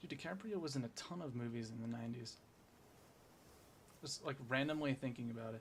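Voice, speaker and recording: A man speaks at a fairly quick pace with a medium pitch and a somewhat breathy quality. He leaves long, frequent pauses. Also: ordinary pitch variation. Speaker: gaming streamer. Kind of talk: casual live stream chat. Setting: live stream. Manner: fast.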